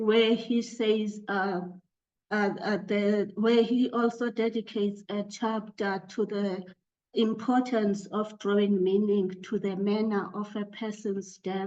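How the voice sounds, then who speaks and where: A woman speaks very slowly in a South African accent, her pitch medium. Her intonation stays monotone and flat. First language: Xhosa. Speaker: academic panelist. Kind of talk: academic discussion. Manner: halting, many fillers.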